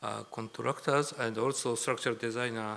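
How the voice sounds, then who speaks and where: A man with a Japanese accent, medium pitch, ordinary pitch variation and a moderate pace. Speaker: professor. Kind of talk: lecture. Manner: halting.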